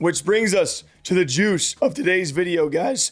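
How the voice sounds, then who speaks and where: A man speaks at a fairly slow pace with lively intonation. His pitch is high. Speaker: esports news host. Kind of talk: casual talk to camera.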